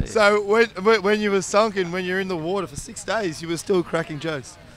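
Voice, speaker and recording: A man with an Australian accent speaks at a fairly quick pace in a high pitch. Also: ordinary pitch variation. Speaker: TV presenter. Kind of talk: live interview. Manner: stammering, repeats words.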